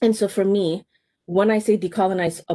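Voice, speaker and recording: With a Canadian accent, a woman speaks at a moderate pace. The sound is dry and close, without echo. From Canada (Ontario), born in Somalia. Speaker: high school teacher. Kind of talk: interview conversation. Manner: halting, many fillers.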